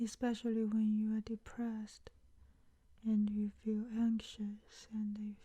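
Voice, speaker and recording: In a soothing, dark and mellow tone, a somewhat breathy woman with a fairly high pitch speaks in a flat monotone at a very slow pace, with long, frequent pauses. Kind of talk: ASMR comfort talk.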